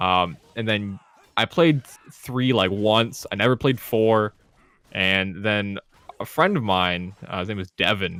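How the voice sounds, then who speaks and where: Here is a man with a plain, everyday voice. His pitch is fairly low and varies in an ordinary way. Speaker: fighting game player. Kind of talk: casual chat. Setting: podcast. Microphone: close to the microphone.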